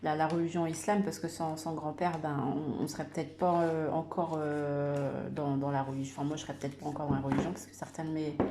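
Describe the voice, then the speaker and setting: A woman with a very deep, low voice talks monotone and flat at a fairly quick pace, hardly pausing. Audible room echo and noticeable background noise fill the recording. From Madagascar, Comoros and Réunion, raised in France. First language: Malagasy (speaking French). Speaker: YouTuber sharing personal faith story. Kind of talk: personal testimony. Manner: halting, many hesitations and repetitions.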